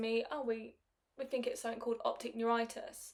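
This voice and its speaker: A woman speaks in a normal speaking voice at a fairly high pitch. Her intonation stays fairly even. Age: 20s. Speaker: podcaster. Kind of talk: casual monologue.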